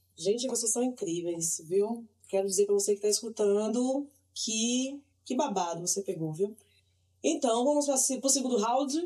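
Her voice is fairly high for a woman, with lively intonation. The tone is dark and mellow. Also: moderate pace. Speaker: podcast host. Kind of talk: casual chat.

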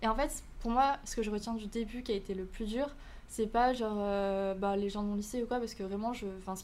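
Amid audible room echo, a woman talks at a fairly quick pace with fairly high pitch and fairly even intonation. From Canada. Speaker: student and content creator. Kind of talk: podcast interview.

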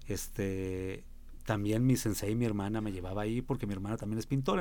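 A man talking at a very fast pace. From Mexico, San Luis Potosí. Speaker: musician. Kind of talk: radio interview.

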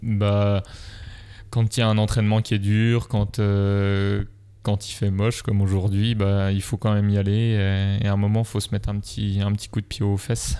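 At a moderate pace, a dark, mellow voice speaks with very even loudness and monotone, flat intonation, in a very clean recording with a silent background. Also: man, fairly low pitch for a man. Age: 20s. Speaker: nurse and triathlete. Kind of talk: interview.

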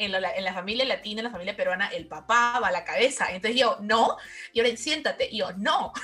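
Speaking at a fairly quick pace, a woman uses a fairly high pitch and lively intonation over noticeable background noise. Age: 20s. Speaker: graduate student. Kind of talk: casual interview.

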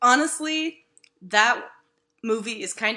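Over a quiet background, a woman uses a raised, projected voice that is high, bright and sharp, with very wide pitch swings. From Mississippi. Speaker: podcast host, journalist. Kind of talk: casual comedic chat. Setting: remote recording, cat nearby. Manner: animated, joking.

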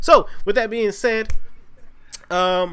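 A lively, up-and-down delivery with an American accent. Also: man. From Virginia. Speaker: podcast co-host. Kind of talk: casual chat. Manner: animated.

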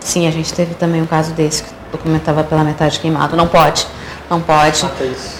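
A woman speaks at a very fast pace with a very deep, low pitch and monotone, flat intonation. Her loudness swings widely over noticeable background noise. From Porto Alegre, southern Brazil. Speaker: electoral office head. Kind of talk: interview.

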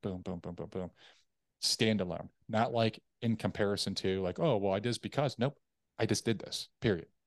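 In a quiet background with a dry, close sound and no echo, a man speaks at a fairly low pitch, at a moderate pace, with ordinary pitch variation. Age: 30s. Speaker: military veteran and sales and leadership coach. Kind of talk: interview testimony. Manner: direct, to the point.

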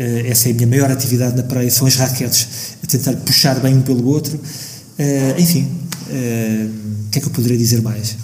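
Room echo is audible along with noticeable background noise, and the speaker keeps a moderate pace with fairly even intonation. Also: man, medium pitch for a man. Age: 50s. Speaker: architect and musician. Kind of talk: radio interview. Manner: halting.

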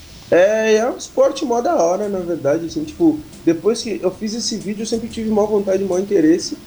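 A man's high-pitched voice, with lively intonation and a fairly quick pace. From Pelotas, Rio Grande do Sul, Brazil. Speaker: rapper. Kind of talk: interview.

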